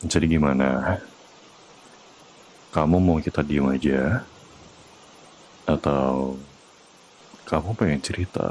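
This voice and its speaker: The speech moves at a very slow pace with long, frequent pauses and ordinary pitch variation. Noticeable background noise runs underneath. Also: man, very deep, low pitch for a man. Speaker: VTuber ASMR roleplay performer. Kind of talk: ASMR boyfriend comfort roleplay. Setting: close-mic ASMR recording for headphones. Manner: soft, calm, reassuring, whispered.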